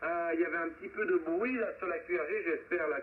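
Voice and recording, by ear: A man's fairly high voice with ordinary pitch variation.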